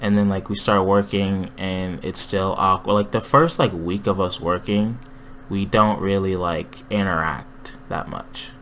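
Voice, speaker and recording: A man with a fairly low pitch and an unremarkable speaking voice talks at a fairly slow pace with fairly even intonation. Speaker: podcast host. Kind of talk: casual chat. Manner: casual, joking.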